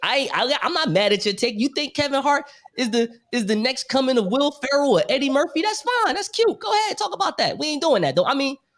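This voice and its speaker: A man with an American accent speaks at an extremely high pitch and a very fast pace. His tone is animated, with very wide pitch swings. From New York. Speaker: podcaster. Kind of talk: casual chat.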